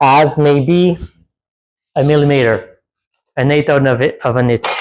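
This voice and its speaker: A man with a Quebec accent and fairly high pitch, at a fairly slow pace. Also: fairly even intonation, very even loudness. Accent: French Canadian accent in English. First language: French. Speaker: DIY off-road vehicle builder. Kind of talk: tutorial. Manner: halting.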